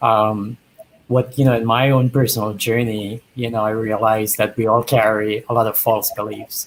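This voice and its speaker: A man at medium pitch and a moderate pace, with monotone, flat intonation. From Trinidad. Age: 50s. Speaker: dating show bachelor. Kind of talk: interview.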